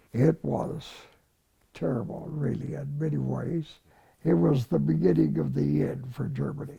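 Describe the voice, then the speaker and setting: In a Texan accent, this dark, mellow voice with vocal fry moves at a moderate pace, swinging very widely in pitch and stopping for long, frequent pauses. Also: man, medium pitch for a man. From Texas. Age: 90s. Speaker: war veteran. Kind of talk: interview.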